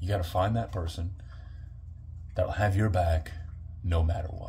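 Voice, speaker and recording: Somewhat breathy and very deep, a man's voice carries a dark, mellow tone at a moderate pace. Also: fairly even intonation. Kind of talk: wrestling-style promo monologue to camera.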